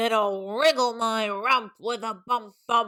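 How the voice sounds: Over a quiet background, a natural reading voice carries fairly even intonation.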